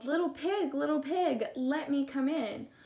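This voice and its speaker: Putting on a character voice, a woman growls at a high pitch. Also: moderate pace. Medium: read story. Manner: wheedling then blustering.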